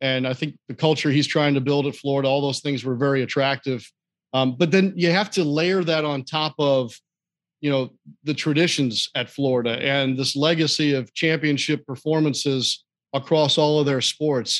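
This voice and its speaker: A man speaks at a moderate pace with an American accent and fairly even intonation. His pitch sits fairly high, in a normal speaking voice. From US Midwest, St. Louis, Missouri. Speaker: sports play-by-play broadcaster. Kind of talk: interview, casual chat. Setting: studio, live at a restaurant venue.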